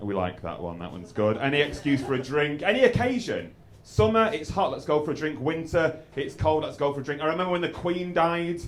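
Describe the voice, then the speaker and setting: With an English accent, a man talks at a fairly high pitch in very wide pitch swings, with hardly any pauses and audible room echo. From England. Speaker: stand-up comedian. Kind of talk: stand-up. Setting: stage with audience. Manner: halting.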